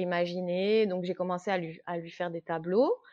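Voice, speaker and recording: A woman's medium-pitched voice with a slight Corsican accent, ordinary pitch variation and a fairly slow pace. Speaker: watercolour illustrator. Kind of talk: podcast interview. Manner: hesitant, many fillers; animated.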